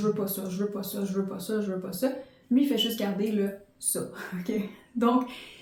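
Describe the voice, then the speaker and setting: With a dark, mellow tone and medium pitch, a woman speaks somewhat breathily at a moderate pace with fairly even intonation, and audible room echo surrounds her. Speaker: podcast host and life coach. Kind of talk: motivational podcast monologue.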